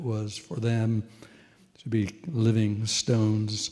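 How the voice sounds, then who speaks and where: A somewhat breathy, dark and mellow voice with an American accent. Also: man. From Nebraska, Minden. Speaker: retired pastor. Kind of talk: personal testimony at a panel.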